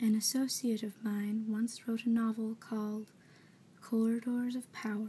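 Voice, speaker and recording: A woman speaks softly at a fairly high pitch. Her delivery is fairly slow, with monotone, flat intonation. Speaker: ASMR reader. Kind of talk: soft-spoken book reading for ASMR. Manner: soft-spoken, quiet, relaxing.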